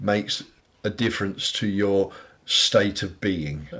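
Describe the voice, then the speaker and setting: A man with a British accent talks at a fairly slow pace with ordinary pitch variation. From Britain. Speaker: podcast co-host. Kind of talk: casual chat.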